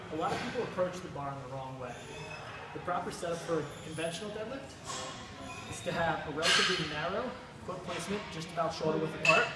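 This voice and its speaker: A man's very fast speech with ordinary pitch variation, amid loud background noise and audible room echo. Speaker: fitness instructor. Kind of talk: tutorial. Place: gym.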